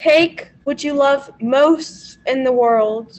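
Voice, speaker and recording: A female-sounding voice puts on a character voice pitched high. It moves at a very slow pace. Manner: ominous.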